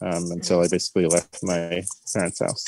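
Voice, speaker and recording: A man's dark, mellow voice with an American accent, dry and close with no echo, on a very clean recording with a silent background. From Long Island, New York. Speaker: farmer. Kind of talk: interview. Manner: halting.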